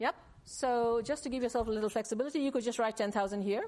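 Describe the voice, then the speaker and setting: Ordinary pitch variation runs through the speaker's plain, everyday voice. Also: woman. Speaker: university lecturer. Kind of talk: lecture.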